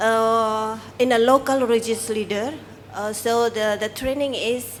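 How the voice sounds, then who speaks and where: A woman speaks at a very slow pace. Her high voice keeps a fairly even intonation. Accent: Indonesian. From Indonesia. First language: Indonesian. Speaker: civil society worker. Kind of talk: press briefing. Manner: halting.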